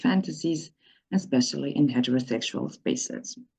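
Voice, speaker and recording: A voice with a non-native accent speaks at a fairly quick pace in a dark, mellow tone. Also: woman. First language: not English. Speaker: activist and researcher. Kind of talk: conference presentation. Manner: halting, with frequent repetitions.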